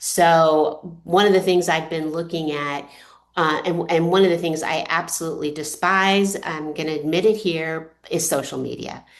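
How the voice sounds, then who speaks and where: Her pitch is fairly low and her intonation monotone and flat. This woman's voice carries audible room echo. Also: moderate pace. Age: 60s. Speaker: author. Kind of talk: presentation. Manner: halting.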